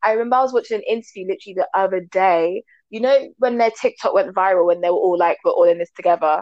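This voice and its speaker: A woman in a London accent at a very fast pace, with hardly any pauses. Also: medium pitch for a woman, ordinary pitch variation. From UK, Jamaican parents. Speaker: co-host. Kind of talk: casual chat.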